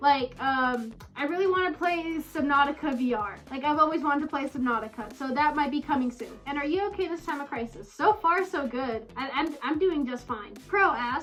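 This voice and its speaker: Over background music, the speech runs at a fairly quick pace with hardly any pauses. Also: woman, high pitch for a woman, ordinary pitch variation. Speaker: furry YouTuber. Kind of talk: casual Q&A vlog. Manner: hesitant, filler words.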